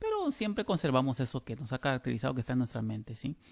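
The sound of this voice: The voice carries vocal fry and comes with a Guatemalan accent. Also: man.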